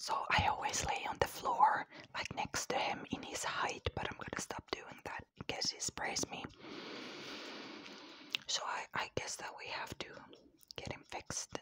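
A woman whispers in a tired tone at a fairly slow pace. Her speech has long, frequent pauses. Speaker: ASMR creator. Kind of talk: ASMR whisper ramble to camera. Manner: whispered, cupped close to the mic; tired, soft. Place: home room. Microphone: lapel.

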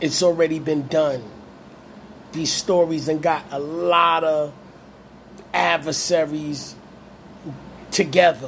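Over light background noise, a man with an American accent speaks at a very slow pace with fairly even intonation, leaving long, frequent pauses. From Brooklyn, New York (Brownsville); Brooklyn, New York. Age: 40s. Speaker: YouTube channel host. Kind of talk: monologue video commentary. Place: home room. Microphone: phone near.

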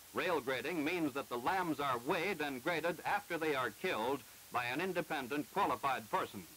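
Moderately paced, this man's voice is fairly high in pitch, with ordinary pitch variation and very even loudness, an unremarkable speaking voice. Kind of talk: 1948 educational film narration. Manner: formal, measured, didactic; brisk and matter-of-fact, like a newsreel announcer.

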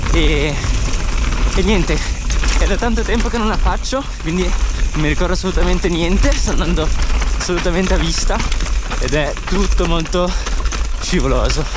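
Over loud background noise, a man talks at a moderate pace with long, frequent pauses, and the sound is dry with no echo. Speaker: mountain bike vlogger. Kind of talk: casual vlog chat.

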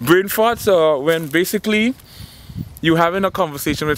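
In a dry recording with no echo and light background noise, a man speaks at a moderate pace with a fairly high voice. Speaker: actor. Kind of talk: comedic monologue to camera. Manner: casual, playful. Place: garden. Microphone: phone near.

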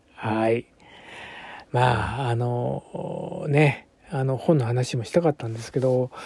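Very slowly and with a relaxed tone, a man speaks in a dark, mellow, somewhat breathy voice of medium pitch, with ordinary pitch variation, in a dry, close sound with no echo. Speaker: bunraku puppeteer. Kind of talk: casual monologue. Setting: home recording. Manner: relaxed, many fillers.

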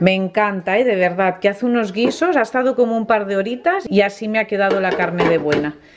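With noticeable background noise behind her, a woman talks at a fairly quick pace with hardly any pauses and ordinary pitch variation. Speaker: family vlogger. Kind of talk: casual vlog chat. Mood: cheerful, enthusiastic. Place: kitchen. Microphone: phone near.

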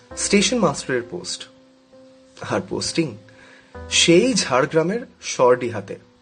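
A man's pitch swings very widely as he talks. Music can be heard behind him. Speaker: storyteller narrator. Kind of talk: horror story narration.

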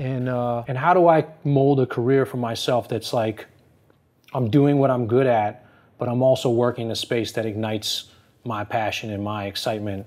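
A man with an American accent speaks at a fairly quick pace, his pitch medium for a man. Long pauses break up his speech often. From US Northeast (New Jersey). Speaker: fashion consultant and former lawyer. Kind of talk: interview. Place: office.

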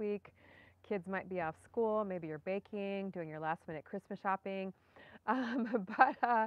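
Her pace fairly slow and her pitch varying in an ordinary way, a woman talks with a dry sound that has no echo. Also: big swings in loudness. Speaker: gardening channel host. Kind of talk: casual live stream chat. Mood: cheerful, relaxed. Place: garden. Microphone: phone near.

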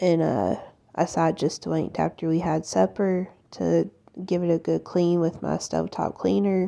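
Over a quiet background, a woman speaks at a moderate pace. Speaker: home cleaning vlogger. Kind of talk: casual vlog chat. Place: kitchen.

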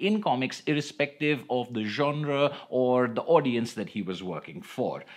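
A fairly slow-paced male speaker over a quiet background. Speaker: comics reviewer. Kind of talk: commentary. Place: home room.

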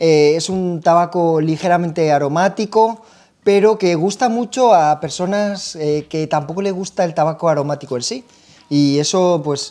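A plain, everyday voice moves at a moderate pace with ordinary pitch variation. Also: man. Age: 30s. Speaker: pipe tobacco shop video host. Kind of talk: casual product review chat. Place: shop. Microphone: lapel.

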